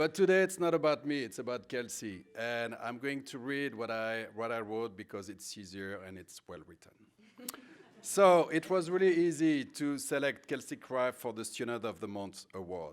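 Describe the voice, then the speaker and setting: With a French accent, a man talks at a moderate pace and medium pitch. His pitch swings very widely and his loudness shifts a lot. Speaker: high school French teacher. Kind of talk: award speech.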